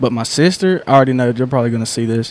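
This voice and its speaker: A man's medium-pitched voice with a North Carolina accent. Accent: Southern North Carolina. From North Carolina, Lumberton. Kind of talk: casual chat.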